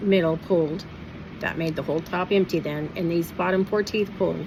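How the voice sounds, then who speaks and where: Noticeable background noise accompanies a woman whose intonation stays fairly even. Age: 60s. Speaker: vlogger sharing denture experience. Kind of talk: personal vlog monologue.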